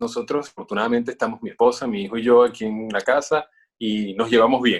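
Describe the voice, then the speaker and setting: The man's pace is very fast. His pitch is medium and his intonation fairly even. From Venezuela. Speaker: voice-over announcer. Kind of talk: interview. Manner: hesitant, many fillers.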